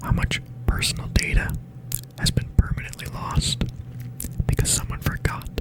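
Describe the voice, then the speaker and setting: Noticeable background noise surrounds a man who whispers at a moderate pace. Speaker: ASMR creator. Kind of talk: ASMR soft-spoken questions role play. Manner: soft-spoken.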